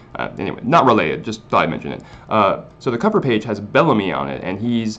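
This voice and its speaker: A man talks at a very fast pace. His fairly low voice carries vocal fry. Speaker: manga review youtuber. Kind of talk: casual video review. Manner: animated.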